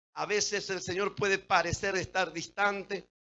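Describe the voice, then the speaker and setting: This is a man speaking. His pitch is high. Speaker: pastor. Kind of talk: sermon.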